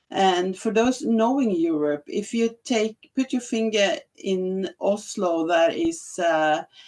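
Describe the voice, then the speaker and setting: In a Norwegian accent, a woman talks at a very slow pace with hardly any pauses. Her pitch swings very widely. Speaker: health administrator. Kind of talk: conference presentation. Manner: halting.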